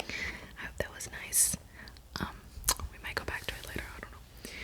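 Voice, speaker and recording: The voice is a whisper. There is noticeable noise in the background. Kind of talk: ASMR whisper video with enunciated words and accent tag questions. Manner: whispered, slow, crisp word list reading.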